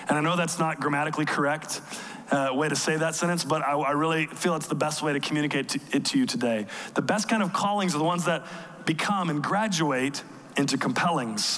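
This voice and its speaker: Fairly high in pitch, a man talks at a very fast pace with ordinary pitch variation and very even loudness. Noticeable background noise runs underneath. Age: 30s. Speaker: pastor. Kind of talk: sermon. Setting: church.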